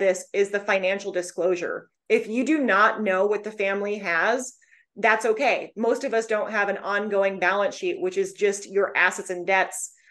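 A woman with an ordinary speaking voice talks at a moderate pace and medium pitch, with ordinary pitch variation. The background is quiet. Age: 30s. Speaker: divorce financial analyst. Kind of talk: interview.

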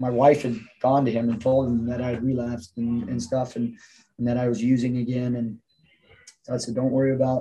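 A man's dark, mellow, somewhat breathy voice at medium pitch, with an American accent, monotone, flat intonation, a moderate pace and long, frequent pauses. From Southern California. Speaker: gym owner and fitness coach. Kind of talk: interview.

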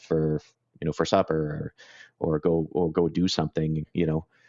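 This man has a very deep, low pitch and monotone, flat intonation. His pace is moderate. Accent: Cape Breton. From Cape Breton, Nova Scotia, Canada. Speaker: independent IT consultant. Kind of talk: casual interview. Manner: halting, many fillers.

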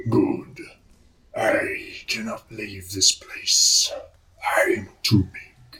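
At a very slow pace, a man talks in a put-on character voice. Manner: commanding.

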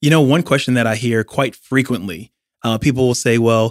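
A man with a plain, everyday voice at medium pitch, fairly even intonation, and a very clean recording with a silent background. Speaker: podcast host. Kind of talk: interview, casual chat.

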